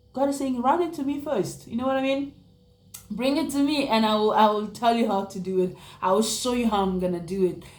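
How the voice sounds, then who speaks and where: Over noticeable background noise, a woman speaks at a fairly quick pace with lively intonation and a fairly high pitch. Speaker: vlogger. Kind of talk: casual vlog talk. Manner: fast; halting, repetitive.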